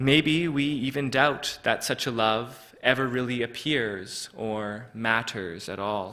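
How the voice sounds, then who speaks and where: A man with a medium pitch and a bright, sharp tone talks at a very slow pace. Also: ordinary pitch variation. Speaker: preacher. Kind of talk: sermon delivered to a congregation.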